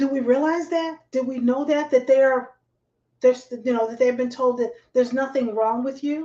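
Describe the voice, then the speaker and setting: This woman's high voice carries a dark, mellow tone. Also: moderate pace. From New Jersey. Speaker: talk show host. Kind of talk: live online talk show. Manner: animated.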